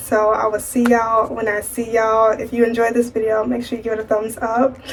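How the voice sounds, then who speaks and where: Against noticeable background noise, a woman speaks in a fairly high pitch with monotone, flat intonation. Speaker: lifestyle vlogger. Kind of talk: casual vlog monologue.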